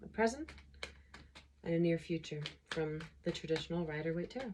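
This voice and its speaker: This woman talks at a fairly quick pace, her fairly low pitch moving with ordinary variation. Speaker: tarot reader. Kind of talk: tarot reading. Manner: halting.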